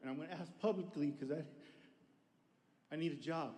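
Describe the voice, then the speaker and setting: With a dark, mellow tone and a fairly high pitch, a man speaks at a fairly quick pace in a room with audible echo. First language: Spanish. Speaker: audience member asking a question. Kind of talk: audience question.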